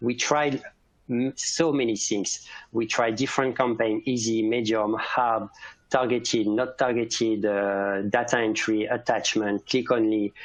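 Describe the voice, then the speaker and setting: Fairly slow speech in a French accent, very even loudness, against a quiet background. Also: man, medium pitch for a man. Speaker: cybersecurity specialist. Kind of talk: conference presentation. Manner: halting.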